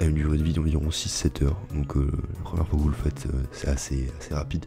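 A soft-spoken man whispering at a fairly quick pace with music in the background. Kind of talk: ASMR gameplay commentary. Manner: soft-spoken, whispered.

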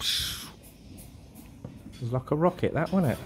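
A somewhat breathy man amid light background noise. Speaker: food vlogger. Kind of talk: casual food review commentary. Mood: jovial, impressed. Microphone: phone near.

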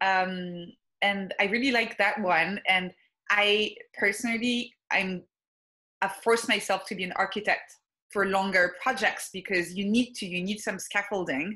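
With a bright, sharp tone and fairly even intonation, a woman speaks at a fairly slow pace against a quiet background. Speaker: neuroscience researcher and productivity writer. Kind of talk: interview. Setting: video call. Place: home room. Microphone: video call.

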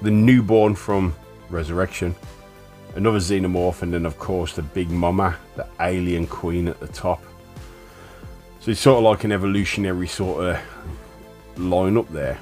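Over music in the background, a man with a very deep, low pitch speaks at a moderate pace, using ordinary pitch variation and long, frequent pauses. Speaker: collector reviewing a steelbook. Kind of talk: product showcase commentary. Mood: calm admiring. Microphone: phone near.

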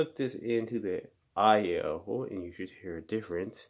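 A man uses a normal speaking voice at a fairly low pitch and a moderate pace, with ordinary pitch variation over a quiet background. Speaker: vlogger. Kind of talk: casual mic test demo. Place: home room. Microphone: phone near.

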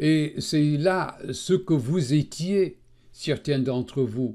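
At a very slow pace, a man talks with a non-native accent in a fairly high pitch and a dark, mellow tone. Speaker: Bible teacher. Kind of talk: religious teaching narration.

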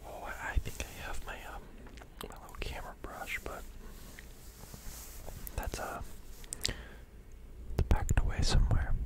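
A man whispers in a relaxed tone, with long, frequent pauses. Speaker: ASMR creator. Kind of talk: ASMR whispered ramble to camera. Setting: close to microphone in studio. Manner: soft-spoken, whispering, relaxed. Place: home room. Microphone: studio mic.

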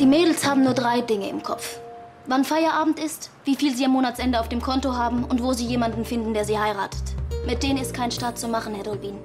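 Clear music runs in the background as the speech races at a very fast pace with ordinary pitch variation. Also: woman, high pitch for a woman. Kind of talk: scripted drama dialogue. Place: office.

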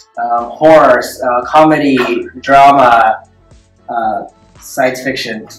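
Against faint music in the background and audible room echo, a man talks at a very slow pace with fairly even intonation and long, frequent pauses. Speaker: dance choreographer. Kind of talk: interview answer. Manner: soft-spoken. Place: meeting room. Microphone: camera far.

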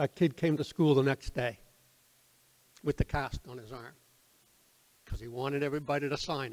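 With an Atlantic Canadian accent, a man speaks at a fairly high pitch with ordinary pitch variation. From Nova Scotia, Halifax; Nova Scotia. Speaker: retired teacher and theatre troupe founder; guest. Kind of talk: informal talk to audience. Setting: community hall with audience. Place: hall. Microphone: podium.

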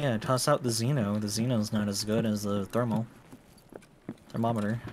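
Over noticeable background noise, a man speaks with fairly even intonation. His pace is moderate. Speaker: gaming teammate; game streamer. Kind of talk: casual chat while gaming. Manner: slurred. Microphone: studio mic.

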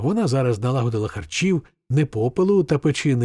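Plain reading aloud with lively intonation and a quiet background.

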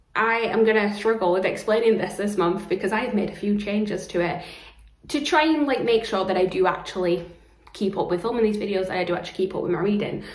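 With audible room echo, a woman speaks at a very fast pace. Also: ordinary pitch variation. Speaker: book vlogger. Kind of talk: casual vlog chat. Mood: cheerful, chatty. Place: home room. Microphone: phone near.

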